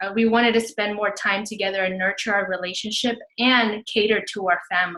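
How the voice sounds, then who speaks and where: Bright and sharp in tone, a woman with a Spanish accent talks in a fairly high pitch with fairly even intonation. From Houston, Texas. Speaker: fitness business coach. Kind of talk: webinar presentation.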